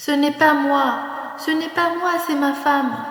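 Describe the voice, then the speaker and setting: Soft-spoken and very slow, a woman talks over noticeable background noise. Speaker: storyteller. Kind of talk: bedtime story narration. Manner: soft-spoken, calm.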